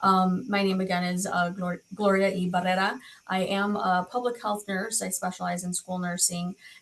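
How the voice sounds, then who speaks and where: A woman's somewhat breathy, medium-pitched voice, flat and monotone at a moderate pace. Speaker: school nurse, nursing professor. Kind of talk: webinar presentation.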